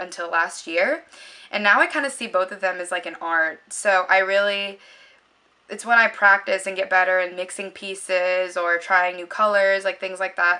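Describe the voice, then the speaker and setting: A bright, sharp tone at a moderate pace, with fairly even intonation. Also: woman. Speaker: beauty vlogger. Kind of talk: casual vlog monologue. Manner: rambling with frequent fillers.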